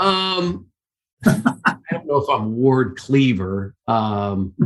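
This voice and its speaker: A man with a Midwestern US accent speaks at a very slow pace. His medium-pitched voice swings very widely in pitch. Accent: US Midwest. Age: 60s. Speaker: sports play-by-play announcer. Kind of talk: interview.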